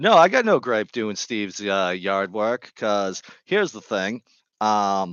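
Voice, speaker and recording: Speaking with a Boston accent, a man of fairly low pitch shows big swings in loudness. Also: ordinary pitch variation, fairly slow pace. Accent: thick Boston. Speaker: gardening live streamer. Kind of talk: casual live stream chat. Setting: home live stream with headset.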